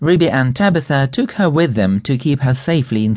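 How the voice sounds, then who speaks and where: Here is a plain, everyday voice with lively intonation at a moderate pace. The background is quiet. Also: man. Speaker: audiobook narrator. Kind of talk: dramatic storybook narration for children, reading aloud with character voices.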